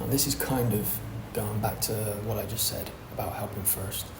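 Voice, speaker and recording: A soft-spoken man talks at a fairly slow pace with a fairly low pitch. Noticeable background noise sits behind him. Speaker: DM setter for a fitness coaching offer. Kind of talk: tutorial talk to camera. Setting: co-working space. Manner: quiet, soft-spoken.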